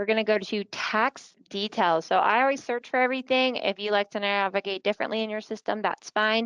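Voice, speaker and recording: In a normal speaking voice, a woman talks at a fairly quick pace and fairly high pitch with hardly any pauses and fairly even intonation, the sound dry and close with no echo against a quiet background. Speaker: software consultant / webinar presenter. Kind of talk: webinar tutorial. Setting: online webinar. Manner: casual, conversational.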